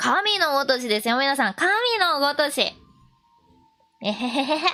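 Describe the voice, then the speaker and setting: Music plays in the background as a woman speaks in a raised, projected voice at a moderate pace. Her tone is cheerful, her pitch high and her intonation lively. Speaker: VTuber shrine maiden streamer. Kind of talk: casual live-stream commentary explaining the text. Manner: chatty, cheerful, laughing.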